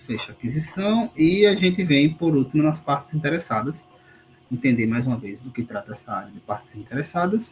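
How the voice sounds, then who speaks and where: With lively intonation, a man speaks at a fairly high pitch in a somewhat breathy voice. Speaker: university lecturer. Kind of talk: online lecture, exam review.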